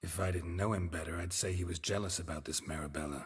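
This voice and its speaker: In a very clean recording with a silent background, a man puts on a character voice, deadpan and very deep and low in pitch, and speaks at a very fast pace. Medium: video game. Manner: terse, deadpan.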